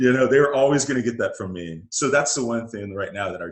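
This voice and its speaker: A man with an American accent at a moderate pace. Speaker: interview guest. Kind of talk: casual interview chat.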